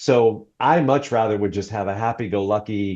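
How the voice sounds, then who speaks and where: In an ordinary speaking voice, a man with a fairly low pitch talks at a moderate pace with fairly even intonation against a quiet background. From US Northeast (New Jersey/New York). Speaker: divorce mediator and author. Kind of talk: podcast interview.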